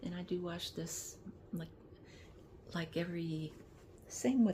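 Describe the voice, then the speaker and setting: Long, frequent pauses break up a woman's speech. Her fairly low, somewhat breathy voice has a dark, mellow tone and ordinary pitch variation. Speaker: lifestyle vlogger. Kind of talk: casual vlog talk. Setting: in bed. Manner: halting, many restarts; talkative.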